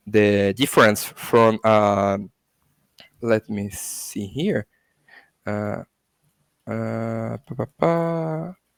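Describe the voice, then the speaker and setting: The speech comes very slowly, in a Portuguese accent with lively intonation, long, frequent pauses and big swings in loudness. The sound is dry and close, with no echo. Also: man, fairly low pitch for a man. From Brazil. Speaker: crypto education academy founder. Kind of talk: interview. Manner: halting, many fillers and self-corrections.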